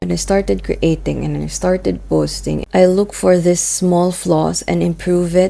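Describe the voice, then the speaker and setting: A woman talks at a moderate pace while noticeable background noise plays behind her. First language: Filipino. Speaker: vlogger. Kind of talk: personal vlog monologue.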